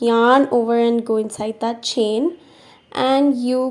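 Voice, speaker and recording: This woman has an unremarkable speaking voice set at a fairly high pitch. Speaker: crochet teacher. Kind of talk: craft tutorial voice-over. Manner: upbeat, friendly.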